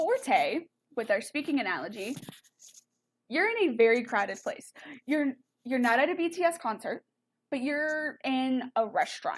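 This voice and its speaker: A loud woman speaks with an American accent and lively intonation. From Texas. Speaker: music teacher. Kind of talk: online lesson. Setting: live stream.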